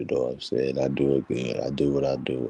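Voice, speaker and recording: Soft-spoken and very deep, this man's low voice carries vocal fry and fairly even intonation in a dry, close sound with no echo. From Chicago. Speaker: motivational vlogger. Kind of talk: casual monologue.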